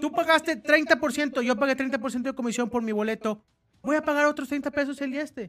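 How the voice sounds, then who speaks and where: This man speaks in an extremely high pitch with a bright, sharp tone and ordinary pitch variation. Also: moderate pace. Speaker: football podcast host. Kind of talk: casual chat.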